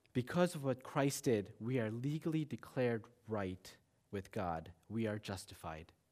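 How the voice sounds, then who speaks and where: In a solemn tone, a man of medium pitch speaks at a fairly slow pace with lively intonation. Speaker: lay preacher, church member. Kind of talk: Good Friday sermon, earnest expository preaching with scripture reading. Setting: church. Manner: earnest, solemn, deliberate, with repetition for emphasis; rising intensity, pleading and reverent.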